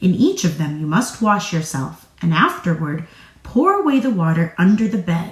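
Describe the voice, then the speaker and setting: This female-sounding voice puts on a character voice with a fairly low pitch at a moderate pace. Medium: read story. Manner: cautious.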